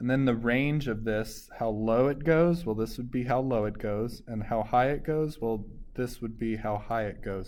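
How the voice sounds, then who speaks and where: A man speaks in a normal speaking voice at a moderate pace, with ordinary pitch variation and hardly any pauses. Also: medium pitch for a man. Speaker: math teacher. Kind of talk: tutorial.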